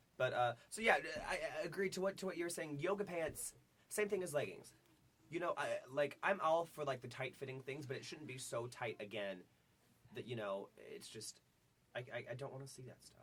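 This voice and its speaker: Animated male speech at fairly high pitch, with lively intonation, big swings in loudness and long, frequent pauses. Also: fairly quick pace. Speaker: college radio show co-host. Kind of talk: casual chat.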